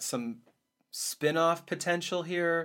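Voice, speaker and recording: A man's bright, sharp tone on a very clean recording with a silent background. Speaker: comics podcast host. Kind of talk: casual chat. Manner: fast.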